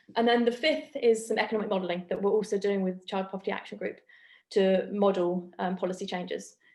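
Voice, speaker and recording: Talking at a very fast pace, a woman uses medium pitch and ordinary pitch variation. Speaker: academic researcher. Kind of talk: academic seminar presentation.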